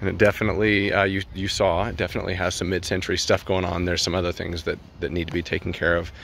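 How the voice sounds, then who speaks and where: A man's very deep, low voice at a very fast pace, with fairly even intonation, a dry sound with no echo and light background noise. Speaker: property walkthrough narrator. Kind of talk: casual property walkthrough commentary. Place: street. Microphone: phone near.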